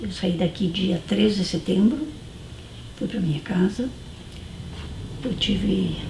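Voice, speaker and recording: Speaking amid noticeable background noise, a woman's voice carries audible room echo. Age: 60s. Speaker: former student resident, university student. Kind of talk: documentary interview.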